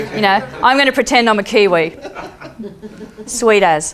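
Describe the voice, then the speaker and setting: Speaking at a medium pitch, a woman talks in an Australian accent. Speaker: peace activist and speaker. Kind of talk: storytelling talk. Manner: animated.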